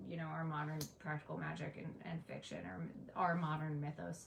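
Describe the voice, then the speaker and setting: Over noticeable background noise and with audible room echo, a woman talks at a moderate pace. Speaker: pagan educator, livestream host. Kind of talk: live-stream lecture with Q and A. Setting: live stream, in front of an apothecary shelf.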